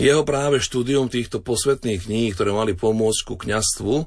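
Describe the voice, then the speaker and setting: This is an unremarkable speaking voice from a man at a moderate pace. His pitch varies in an ordinary way over a quiet background. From eastern Slovakia. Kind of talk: radio interview. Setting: studio.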